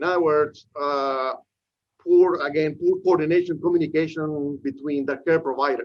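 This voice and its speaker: A man with a Peruvian accent and a fairly high pitch. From Peru, Lima. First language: Spanish. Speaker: professor. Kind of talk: lecture. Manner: frequent fillers and hesitations.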